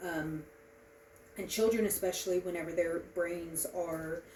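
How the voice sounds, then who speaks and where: Over noticeable background noise, a woman with a fairly low pitch speaks in a monotone, flat intonation. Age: 30s. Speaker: student giving a class speech. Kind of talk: informative speech. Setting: presentation to small audience. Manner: halting, many filler ums.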